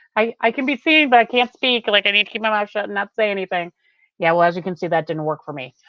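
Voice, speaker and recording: A woman's animated voice at medium pitch, very fast, with lively intonation. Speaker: psychic reader. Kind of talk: live tarot reading.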